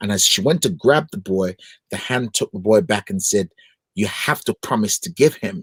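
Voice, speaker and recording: A man with a Nigerian accent speaks in an animated tone with very wide pitch swings. The sound is dry and close with no echo. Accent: Nigerian accent, retained. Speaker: gospel singer and broadcaster. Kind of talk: interview.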